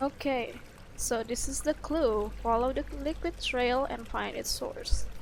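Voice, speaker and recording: The speaker is a woman with an Indonesian accent. She talks at a fairly slow pace. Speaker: streamer. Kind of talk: let's play commentary. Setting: live stream.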